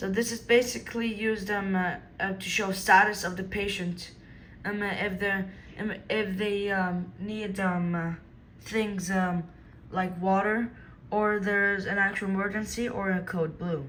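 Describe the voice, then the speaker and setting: A woman talks at a fairly slow pace with monotone, flat intonation. Her medium pitch carries audible room echo. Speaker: product demonstrator. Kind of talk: product demonstration. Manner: halting, many fillers.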